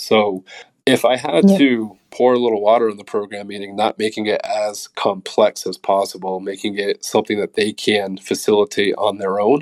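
A man's normal speaking voice with an American accent, fairly low in pitch, at a moderate pace, with fairly even intonation, big swings in loudness, and a dry, close sound with no echo. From New England, Massachusetts. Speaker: strength and conditioning coach. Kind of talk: interview.

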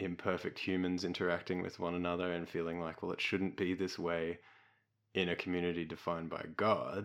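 In an Australian accent, a man talks at a fairly quick pace with a very deep, low pitch and monotone, flat intonation against a quiet background. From Melbourne, Australia. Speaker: podcast host. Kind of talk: scripted outro; casual discussion.

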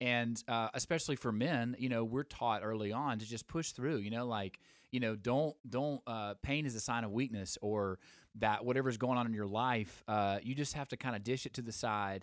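At a moderate pace and with fairly even intonation, the speaker talks in a Southern US accent over a dry, close sound with no echo. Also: man, medium pitch for a man. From Alabama. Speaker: podcast host, former songwriter. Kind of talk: casual live-stream chat. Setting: live Instagram recording with microphones. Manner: hesitant, many fillers.

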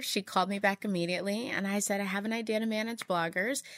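In a very clean recording with a silent background, a woman with an American accent speaks in a bright, sharp tone at a fairly high pitch with fairly even intonation. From Texas. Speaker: digital marketing executive and entrepreneur. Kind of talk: interview.

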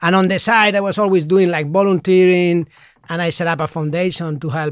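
Speaking at a moderate pace with a Spanish accent, a man with a high pitch keeps his intonation fairly even on a very clean recording with a silent background. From Spain, Madrid. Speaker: priest. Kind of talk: interview. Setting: studio.

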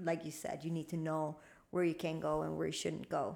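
A woman's dark, mellow tone, fairly low in pitch, with vocal fry. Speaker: podcast co-host, spiritual teacher. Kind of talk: casual chat.

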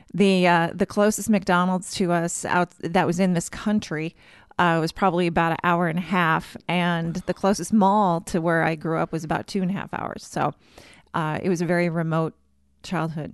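A woman with a slight Minnesotan accent, monotone and flat in intonation, at a moderate pace against a quiet background. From Minnesota, US Midwest. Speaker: church communications director. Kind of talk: casual interview.

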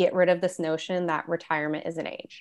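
A woman's ordinary speaking voice with an American accent, at a moderate pace over a quiet background. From Michigan, US Midwest. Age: 20s. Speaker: money coach. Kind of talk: podcast interview.

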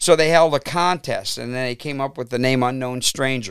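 A man with a Northern Ohio accent speaks at a moderate pace and a medium pitch, with ordinary pitch variation. The sound is dry and close with no echo, on a very clean recording with a silent background. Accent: Midwestern American (Northern Ohio). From Cleveland, Ohio (Brook Park). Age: 60s. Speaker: rock musician, singer and keyboardist. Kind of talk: casual interview.

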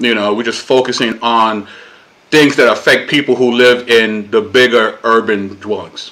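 A man speaks in a New York accent at a medium pitch. His moderate-paced delivery is monotone and flat. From Brooklyn, New York (Puerto Rican family). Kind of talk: casual interview conversation.

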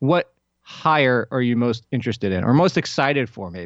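With an unremarkable speaking voice, a man talks at a medium pitch and a moderate pace, his intonation lively. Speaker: sports podcast host. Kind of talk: casual sports chat.

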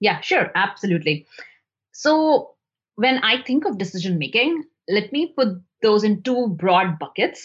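A somewhat breathy woman at a fairly high pitch, with very wide pitch swings, very even loudness, a fairly slow pace, and long, frequent pauses over a quiet background. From India. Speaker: product manager. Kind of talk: interview.

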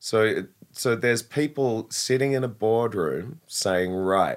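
Using a normal speaking voice, someone talks at a fairly slow pace with ordinary pitch variation. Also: man. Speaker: co-host. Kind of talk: casual interview chat.

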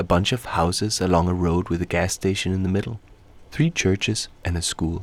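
A man with a Danish accent speaks in a very deep, low voice at a moderate pace. His intonation is fairly even, and the recording is very clean with a silent background. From Denmark. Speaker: radio documentary maker. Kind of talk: scripted documentary narration.

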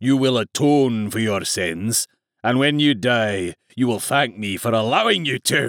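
A man growls through a put-on character voice at a medium pitch and moderate pace, recorded very clean with a silent background and a dry, close sound with no echo. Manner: snarling, menacing.

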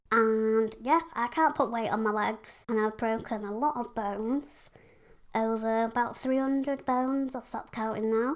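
The recording is very clean, with a silent background. A woman with a fairly high voice talks at a moderate pace with fairly even intonation. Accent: Yorkshire. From West Yorkshire, England. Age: 20s. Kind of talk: casual interview chat.

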